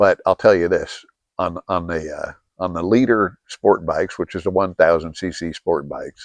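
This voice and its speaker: A man with an American accent speaks at a moderate pace, the sound dry and close with no echo against a quiet background. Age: 60s. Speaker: video blogger. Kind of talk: casual monologue. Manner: halting, many fillers.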